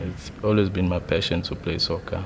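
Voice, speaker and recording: The voice has monotone, flat intonation against noticeable background noise. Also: man. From South Africa, Durban area. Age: 20s. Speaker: amateur footballer, competition contestant. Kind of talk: interview testimony. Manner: halting, with fillers and repetitions. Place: studio.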